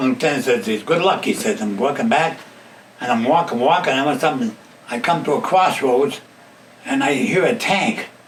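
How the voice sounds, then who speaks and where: With an American accent, a fairly high-pitched man swings very widely in pitch over noticeable background noise. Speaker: war veteran. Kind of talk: interview answer.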